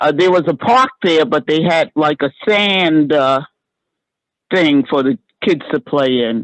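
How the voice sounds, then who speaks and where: A woman with an American accent and a very deep, low pitch speaks at a fairly slow pace, her loudness very even and her intonation lively. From New York City, Harlem. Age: 70s. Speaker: resident, artist. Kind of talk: community meeting comment.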